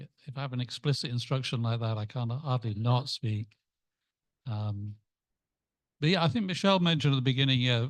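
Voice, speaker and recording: With an English accent, a man talks at a fairly quick pace and a medium pitch. His pitch varies in an ordinary way, broken by long, frequent pauses. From England. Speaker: club member. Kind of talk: group discussion.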